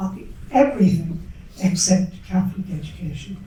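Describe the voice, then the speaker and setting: In an Irish accent, a woman with a medium-pitched voice and ordinary pitch variation speaks at a fairly slow pace over noticeable background noise, with audible room echo. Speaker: school founding parent, former nurse. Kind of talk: panel talk, personal story. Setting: event hall with audience, microphone.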